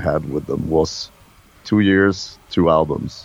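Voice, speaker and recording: A man talks with a very deep, low pitch and ordinary pitch variation. His pace is very slow. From Sweden. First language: Swedish. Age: 50s. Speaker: metal musician. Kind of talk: interview.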